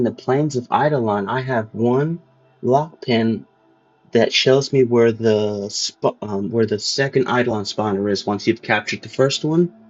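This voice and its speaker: A man talks at medium pitch. Music plays behind him. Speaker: gaming video creator. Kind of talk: casual game guide walkthrough. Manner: casual, animated.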